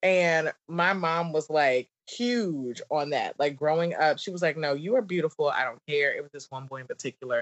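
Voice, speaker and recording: With a Southern US accent, the speaker keeps a moderate pace with hardly any pauses. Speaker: business coach and wine entertainer. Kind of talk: casual interview chat.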